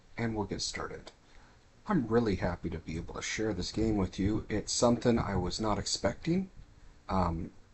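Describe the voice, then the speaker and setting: Quiet and somewhat breathy, a man speaks at a moderate pace with a fairly low pitch. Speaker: gaming streamer. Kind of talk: live game stream commentary.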